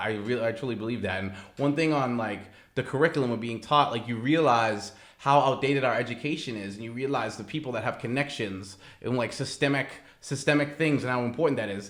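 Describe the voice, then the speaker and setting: A man's plain, everyday voice with an American accent, medium in pitch, fairly quick, with ordinary pitch variation. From Massachusetts. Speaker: risk management professional. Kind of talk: interview answer.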